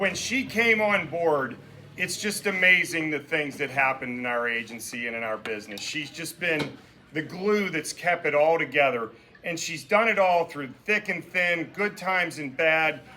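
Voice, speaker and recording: With lively intonation, a man speaks at a moderate pace and a fairly high pitch. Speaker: boss of the birthday woman giving a toast. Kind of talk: birthday roast speech. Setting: party with audience, no microphone. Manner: loud. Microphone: no microphone.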